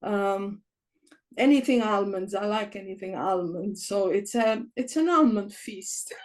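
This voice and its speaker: With an Italian accent, a woman talks at a fairly slow pace and medium pitch, with ordinary pitch variation. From Italy. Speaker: Bible college principal. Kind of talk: podcast interview.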